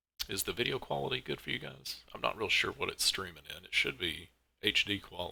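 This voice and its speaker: Mumbling, a man talks at a very fast pace. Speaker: car mod creator streaming his work. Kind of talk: live stream tutorial. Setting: live stream at computer. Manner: casual.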